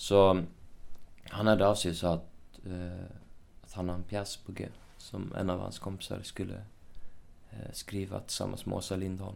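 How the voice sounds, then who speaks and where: Very deep and low, a man's voice moves at a moderate pace with long, frequent pauses and monotone, flat intonation. His loudness swings widely, and audible room echo surrounds it. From Sweden, Uppsala. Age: 20s. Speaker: actor. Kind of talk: casual chat. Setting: hotel room.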